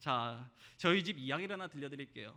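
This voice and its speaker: Lively intonation carries a man's fairly high-pitched voice at a fairly quick pace. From South Korea, Jeolla region. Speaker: pastor. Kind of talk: sermon.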